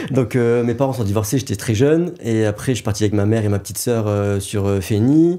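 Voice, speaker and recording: With hardly any pauses, a dark, mellow tone runs at a fairly quick pace with ordinary pitch variation. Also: man, medium pitch for a man. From northern France (Nord, around Maubeuge). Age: 30s. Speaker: wedding videographer and business owner, former boxing champion. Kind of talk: casual interview.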